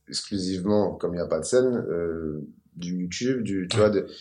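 A man talks at a moderate pace in a dark, mellow tone with ordinary pitch variation. Audible room echo surrounds his voice. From Paris suburbs, Val-de-Marne. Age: 30s. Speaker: comedian and rapper. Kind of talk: casual interview.

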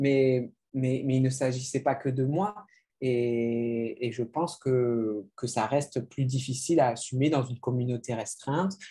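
Speaking at a fairly slow pace, a man has a somewhat breathy, dark, mellow tone, a medium pitch and ordinary pitch variation. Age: 30s. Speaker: novelist. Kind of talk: literary interview.

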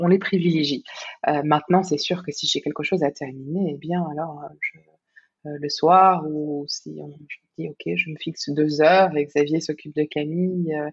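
A woman with a very deep, low pitch speaks at a fairly slow pace, her intonation fairly even and her voice somewhat breathy. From Belgium. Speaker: life coach. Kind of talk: casual interview. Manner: halting, frequent word repetitions.

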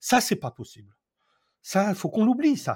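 Very clean, silent-background audio of a man speaking at a moderate pace. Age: 60s. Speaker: eco-building trainer and author. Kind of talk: interview.

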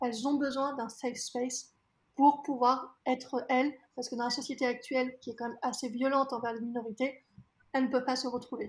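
High-pitched and monotone, a woman talks at a fairly quick pace with flat intonation. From France. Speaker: diversity consultant. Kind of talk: interview.

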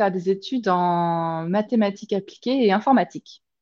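A woman talks at a moderate pace. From France, grew up south of Paris and Lyon. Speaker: pastry business founder, former IT engineer. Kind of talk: interview. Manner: halting, with frequent repetitions.

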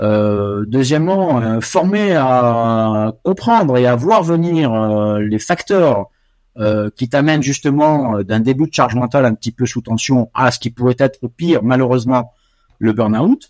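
The speech comes very slowly with lively intonation, recorded dry and close with no echo on a very clean track with a silent background. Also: man, medium pitch for a man. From West Africa (Côte d'Ivoire, Morocco, Senegal). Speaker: chartered accountant and auditor. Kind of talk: interview. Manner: hesitant, many fillers.

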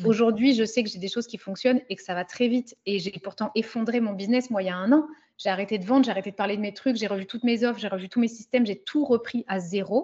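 A somewhat breathy woman with a fairly high pitch at a very fast pace. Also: ordinary pitch variation. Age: 30s. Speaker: business coach for women. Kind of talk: casual chat.

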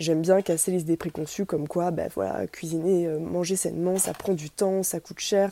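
A woman's fairly low, dark, mellow voice moves at a moderate pace in a monotone, flat line, captured in a very clean recording with a silent background. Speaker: dietitian. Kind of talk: tutorial.

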